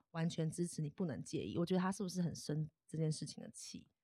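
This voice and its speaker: A woman's fairly low voice at a very fast pace, dry and close with no echo. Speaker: podcaster and psychology graduate student. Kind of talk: casual chat. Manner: loud when excited.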